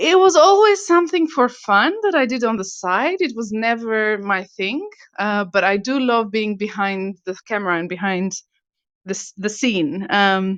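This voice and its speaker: In an Albanian accent, a woman with a fairly high pitch talks at a moderate pace with lively intonation against a quiet background. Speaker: property investor. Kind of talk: interview. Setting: online audio room. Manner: halting.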